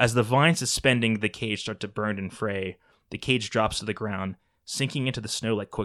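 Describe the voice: This is plain reading aloud with ordinary pitch variation against a quiet background.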